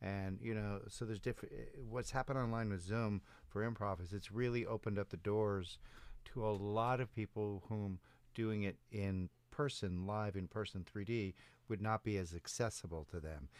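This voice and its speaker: Captured in a very clean recording with a silent background, a man with an American accent uses an ordinary speaking voice at a fairly low pitch, a moderate pace and fairly even intonation. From Chicago. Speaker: improv coach. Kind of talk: casual chat. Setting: studio.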